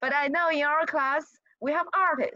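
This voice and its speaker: Raised and projected, a woman's high voice comes at a moderate pace in a dry, close recording with no echo. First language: not English. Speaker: college GIS instructor. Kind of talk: lecture. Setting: video call. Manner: halting, repeats words.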